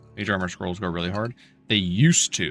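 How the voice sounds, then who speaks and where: Music plays behind a man whose very deep, low voice shows ordinary pitch variation. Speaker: video game streamer. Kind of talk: livestream gameplay commentary. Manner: casual; quiet.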